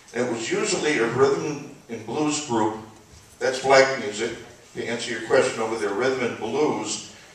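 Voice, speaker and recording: With audible room echo, a man with a fairly high pitch talks at a moderate pace. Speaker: workshop speaker on music history. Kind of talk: informal talk. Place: stage. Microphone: camera far.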